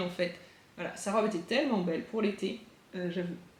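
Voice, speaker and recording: A woman's fairly quick speech comes through audible room echo and noticeable background noise. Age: 40s. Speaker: craft podcaster. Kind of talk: casual monologue vlog. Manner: hesitant, many fillers.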